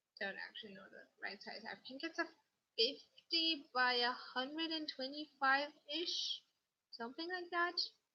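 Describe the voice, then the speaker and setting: A woman's high-pitched voice at a moderate pace, with very wide pitch swings and big swings in loudness. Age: 18. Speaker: craft YouTuber. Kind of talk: livestream chat. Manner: rambling, casual. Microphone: laptop mic being tested.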